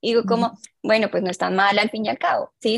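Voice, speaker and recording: A plain, everyday voice from a woman, fairly high in pitch with ordinary pitch variation, moves at a fairly quick pace in a dry, close sound with no echo. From Colombia. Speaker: clinical psychologist. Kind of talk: interview on mental health.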